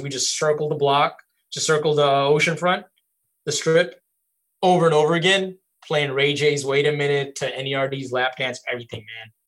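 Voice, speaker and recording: Speaking in an ordinary speaking voice with an American accent, a man keeps a moderate pace. His pitch is fairly high and his intonation fairly even. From Bangladesh (Dhaka), then Virginia Beach, US. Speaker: music video director. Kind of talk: casual interview. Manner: casual, relaxed.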